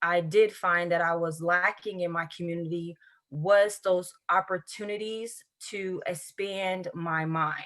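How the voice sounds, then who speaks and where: This voice, with a Southern US accent, moves at a very slow pace with fairly even intonation. The recording is very clean, with a silent background. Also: woman. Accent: Southern US country. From US South, central Florida (Highlands County). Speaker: educator with a doctorate, interview guest. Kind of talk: interview.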